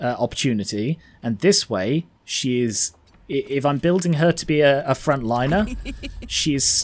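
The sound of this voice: The clip features an unforced reading voice.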